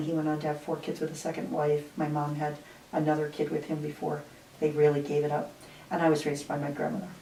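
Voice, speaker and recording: A woman with an American accent speaks at a fairly quick pace with a very deep, low pitch. Audible room echo surrounds her voice. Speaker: retired nurse-midwife. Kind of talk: interview. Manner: halting.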